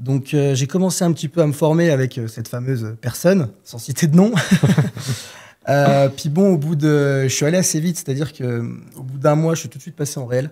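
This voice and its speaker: A man speaks at a fairly quick pace with a fairly high pitch, a dark, mellow tone and ordinary pitch variation. His voice is somewhat breathy and swings widely in loudness. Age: 20s. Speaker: trader. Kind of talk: podcast interview. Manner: hesitant, many filler sounds.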